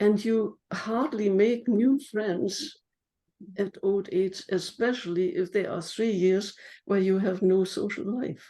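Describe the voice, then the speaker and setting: A woman with a German accent speaks very slowly at a medium pitch, her dark, mellow tone carrying ordinary pitch variation. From Germany. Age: 80s+. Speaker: memoir author. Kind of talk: interview.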